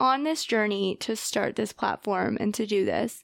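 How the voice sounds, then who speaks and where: A woman with an ordinary speaking voice, fairly high in pitch, at a moderate pace, in a very clean recording with a silent background. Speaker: podcast host and grad student. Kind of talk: interview podcast, casual chat.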